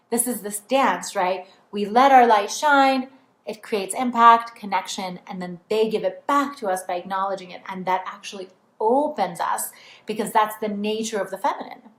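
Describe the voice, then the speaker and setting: A woman's fairly high voice with a non-native accent, moderate pace, ordinary pitch variation and big swings in loudness. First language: not English. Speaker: spiritual coach. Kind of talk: online training talk. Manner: casual, filler-heavy.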